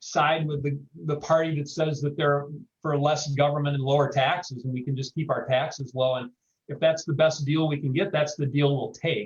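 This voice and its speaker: A man with an American accent talks at a moderate pace, his voice fairly high-pitched and somewhat breathy. His intonation stays fairly even. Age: 60s. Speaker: panelist. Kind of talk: panel discussion. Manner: halting, many repeated words.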